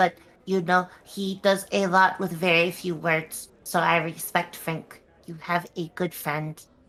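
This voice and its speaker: A female-sounding voice performs a put-on character voice at a fairly slow pace. The pitch is fairly low for a woman. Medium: actual play. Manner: halting, stammering.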